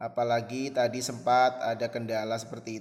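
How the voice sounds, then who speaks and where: A man is speaking. His pace is moderate. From Central Java, Pekalongan. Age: 20s. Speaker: Indonesian language teacher. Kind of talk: online class introduction to students. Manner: hesitant, with frequent fillers.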